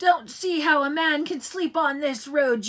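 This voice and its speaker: Using a put-on character voice, a woman speaks at a high pitch and a moderate pace. Her voice is raised and projected. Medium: read story. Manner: hearty, chatty salesman-like.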